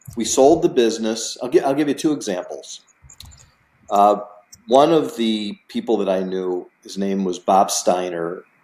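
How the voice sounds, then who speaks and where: In an American accent, a man with a normal speaking voice and medium pitch speaks at a fairly slow pace with lively intonation. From US Midwest, Chicago area. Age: 60s. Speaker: real estate investor. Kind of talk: interview.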